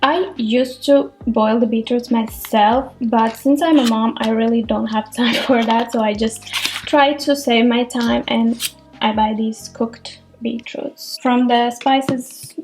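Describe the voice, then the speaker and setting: A woman with a Latvian accent speaks at a fairly slow pace and a high pitch, her intonation fairly even, with noticeable background noise. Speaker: cooking vlogger. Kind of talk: cooking tutorial. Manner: casual, chatty.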